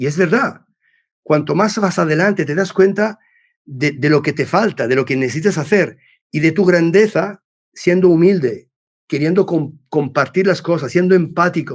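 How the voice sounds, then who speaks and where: Speaking at a moderate pace, a man with a high voice uses ordinary pitch variation in a very clean recording with a silent background. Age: 60s. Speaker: business executive and mentor. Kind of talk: podcast interview. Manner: halting, many repetitions and false starts; talkative.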